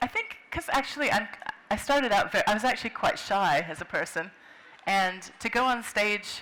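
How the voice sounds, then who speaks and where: An American accent at a moderate pace, with long, frequent pauses and noticeable background noise. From US Pacific Northwest, Seattle. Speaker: children's book illustrator and writer. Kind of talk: interview at a book fair.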